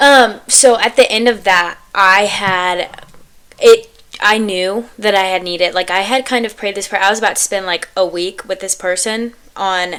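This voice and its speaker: A woman talks in an unremarkable speaking voice at a moderate pace. Her medium pitch carries fairly even intonation. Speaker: podcast host. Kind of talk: casual chat.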